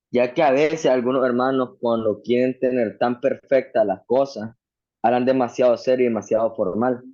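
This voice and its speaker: A man with a strong Nicaraguan accent speaks at a moderate pace and medium pitch. His tone is dark and mellow, with fairly even intonation and very even loudness. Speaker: Bible student. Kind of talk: class discussion.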